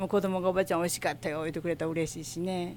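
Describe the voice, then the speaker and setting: A woman speaks with a fairly low pitch. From Osaka, Minato ward. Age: 60s. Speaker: shop owner. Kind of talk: interview. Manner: casual.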